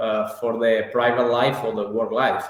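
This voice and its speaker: Audible room echo surrounds a man speaking at a medium pitch with an Italian accent. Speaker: real estate professional, English learner. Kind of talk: interview. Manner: halting, many fillers and repetitions.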